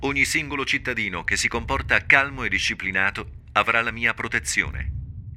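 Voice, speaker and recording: A man speaks at a moderate pace in a medium-pitched, bright, sharp voice with vocal fry. His pitch varies in an ordinary way. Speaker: documentary narrator. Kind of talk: wartime documentary narration. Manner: grave, measured, formal; terse, urgent, vivid storytelling.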